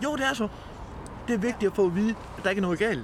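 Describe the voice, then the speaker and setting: This man's voice is high in pitch, with ordinary pitch variation. Noticeable background noise is present. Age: 50s. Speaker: homeless man. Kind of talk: interview testimony.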